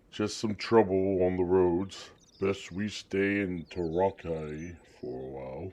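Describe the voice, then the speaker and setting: A man uses a put-on character voice at a very deep, low pitch. He moves at a fairly slow pace. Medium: video game.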